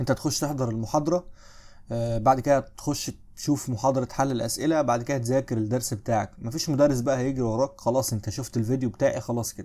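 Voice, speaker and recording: This man's voice has a dark, mellow tone and a medium pitch. He speaks at a fairly quick pace with fairly even intonation. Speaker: history teacher. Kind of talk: lecture. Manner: less loud than usual; casual, conversational.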